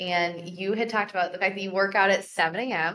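Her tone bright and sharp, a woman speaks at medium pitch and a moderate pace with ordinary pitch variation. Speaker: wedding planner. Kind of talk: casual chat.

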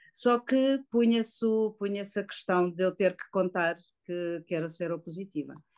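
Speaking with ordinary pitch variation, a woman keeps a moderate pace and a medium pitch. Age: 50s. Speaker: woman living with HIV. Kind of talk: testimony. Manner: halting.

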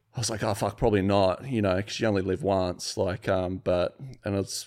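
Very fast speech comes from a man with an Australian accent and a fairly low pitch. The recording is very clean with a silent background. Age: 30s. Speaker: sculptor and business owner. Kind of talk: casual chat. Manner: animated.

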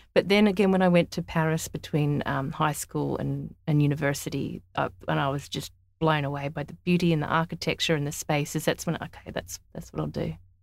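In an Australian accent, a woman speaks with a very deep, low pitch and fairly even intonation at a fairly quick pace, with hardly any pauses. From Australia, Sydney and country New South Wales. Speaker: interior designer. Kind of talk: casual interview.

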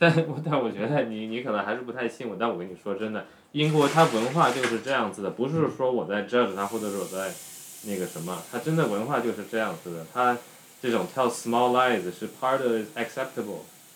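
A man talks at a fairly quick pace, his ordinary pitch variation set against noticeable background noise. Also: medium pitch for a man. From China, raised in expat international school circles. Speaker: guest, Dutch-born Chinese. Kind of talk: casual chat. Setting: home kitchen, making dumplings.

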